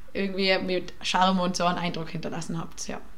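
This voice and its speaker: Amid audible room echo and noticeable background noise, a woman speaks at a fairly quick pace. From Tyrol, Austria. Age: 20s. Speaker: university student, podcast guest. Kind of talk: casual chat. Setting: studio.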